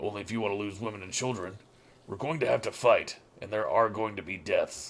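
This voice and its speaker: A man does a raspy, put-on character voice at a fairly low pitch. He moves at a fairly quick pace with big swings in loudness. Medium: actual play. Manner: blunt, gruff.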